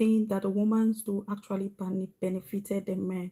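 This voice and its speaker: A woman's somewhat breathy, dark, mellow voice in a Sierra Leonean accent, at a moderate pace. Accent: Sierra Leonean accent, unchanged. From Sierra Leone, West Africa. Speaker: vlogger. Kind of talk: livestream monologue. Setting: live stream.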